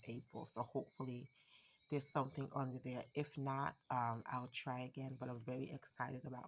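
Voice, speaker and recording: In an American accent, a woman speaks at a very deep, low pitch with fairly even intonation. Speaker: home gardener, channel owner. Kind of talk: garden tour vlog. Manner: casual, hesitant with fillers.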